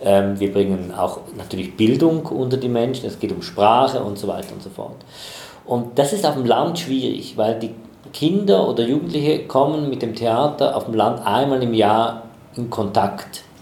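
Against noticeable background noise and audible room echo, a man at medium pitch speaks with lively intonation. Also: moderate pace. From Switzerland, Chur (Graubünden). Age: 40s. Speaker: theatre festival director. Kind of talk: interview.

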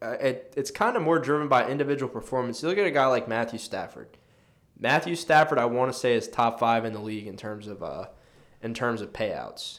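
This man has an unremarkable speaking voice of medium pitch, talking at a fairly quick pace with ordinary pitch variation and big swings in loudness. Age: 20s. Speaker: sports podcast co-host. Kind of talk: casual chat. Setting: studio.

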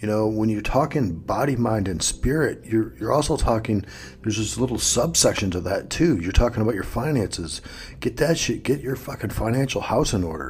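Here a man speaks with lively intonation and a fairly quick pace. His voice sounds somewhat breathy. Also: medium pitch for a man. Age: 50s. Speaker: self-improvement podcast host. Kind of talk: solo motivational monologue. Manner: emphatic, profane.

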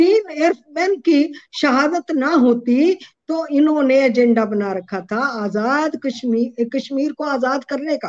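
Lively intonation runs through a woman's high-pitched voice. The sound is dry and close with no echo. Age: 70s. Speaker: widow of an air force officer. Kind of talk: interview. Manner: impassioned.

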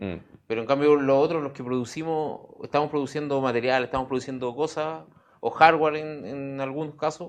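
Fairly quick speech from a fairly high-pitched man with a Chilean accent, ordinary pitch variation and a quiet background. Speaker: recycling entrepreneur. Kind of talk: casual interview chat.

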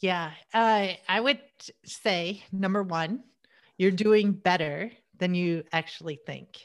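A woman with an American accent at a very slow pace, on a very clean recording with a silent background. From US Midwest. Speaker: tech entrepreneur. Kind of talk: interview.

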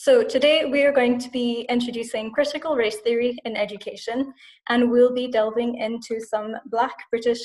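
Speaking in a Scottish accent, a woman with a high pitch keeps a moderate pace, fairly even intonation and hardly any pauses. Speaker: podcast host and English teacher. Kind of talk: interview.

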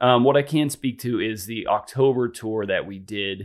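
In a plain, everyday voice, a man talks at a moderate pace and medium pitch, on a very clean recording with a silent background. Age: 30s. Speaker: freestyle motocross rider. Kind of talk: casual chat.

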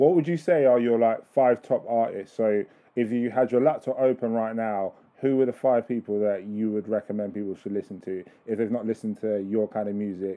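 With an ordinary speaking voice, a man talks at a fairly quick pace and medium pitch, using ordinary pitch variation. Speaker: podcast host. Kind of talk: casual interview chat. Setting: phone call.

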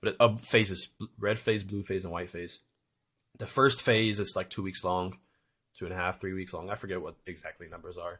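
Over a quiet background, a man with a plain, everyday voice talks at a fairly quick pace and fairly low pitch, his intonation fairly even but his loudness swinging widely. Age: 20s. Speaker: army veteran, podcast co-host. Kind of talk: casual chat.

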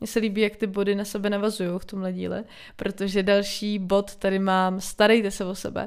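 On a very clean recording with a silent background, a woman speaks at a fairly quick pace with monotone, flat intonation. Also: medium pitch for a woman. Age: 20s. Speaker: solo podcaster. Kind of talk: casual monologue. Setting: home.

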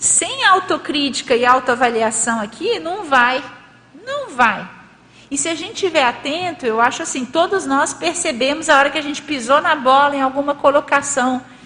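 A woman speaks in a raised, projected voice at a high pitch, with ordinary pitch variation, a moderate pace and noticeable background noise. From Brazil, Minas Gerais. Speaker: lecturer presenting a paper. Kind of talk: lecture with group discussion. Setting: hall with live audience and online stream.

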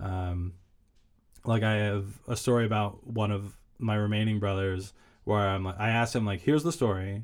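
With fairly even intonation, the delivery proceeds at a moderate speed. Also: man, fairly low pitch for a man. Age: 30s. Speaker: comedian and writer. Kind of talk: interview about mental health. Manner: varied pitch, not monotone.

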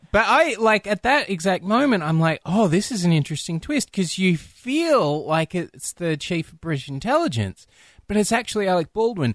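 At a moderate pace, the voice makes very wide pitch swings and big swings in loudness, on a very clean recording with a silent background and a dry, close sound with no echo. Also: man, high pitch for a man. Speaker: podcast host. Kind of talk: casual chat. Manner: joking, playful.

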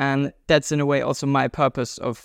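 A man with a German accent and a fairly high pitch, recorded dry and close with no echo, very clean against a silent background. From Germany. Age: 20s. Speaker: world traveler and juggler. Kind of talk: interview conversation.

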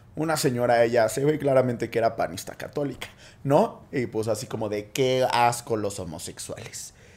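A man's medium-pitched voice with a Mexican accent, at a moderate pace and with ordinary pitch variation. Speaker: podcast co-host. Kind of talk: casual chat.

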